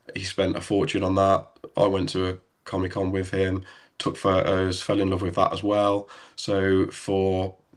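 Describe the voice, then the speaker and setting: In an English Midlands accent, a man with a very deep, low pitch speaks in a relaxed tone with monotone, flat intonation at a fairly slow pace, in a very clean recording with a silent background. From English Midlands, near Birmingham. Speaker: airsoft site owner and photographer. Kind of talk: interview, telling his story. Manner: relaxed, hesitant with many ums.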